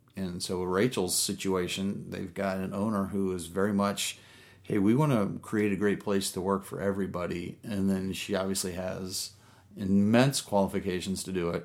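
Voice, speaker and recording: Using a plain, everyday voice, a man talks at a moderate pace with fairly low pitch and fairly even intonation. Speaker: business consultant. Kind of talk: casual interview.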